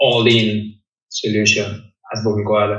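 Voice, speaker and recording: Somewhat breathy, a man's voice moves along at a moderate pace. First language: not English. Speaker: cleaning business owner. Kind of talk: interview. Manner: halting, frequent repetitions.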